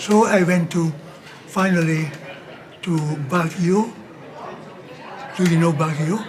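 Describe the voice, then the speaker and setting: Over noticeable background noise and audible room echo, a man with a high pitch talks at a very slow pace. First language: Dutch. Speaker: missionary priest. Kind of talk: interview storytelling. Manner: halting.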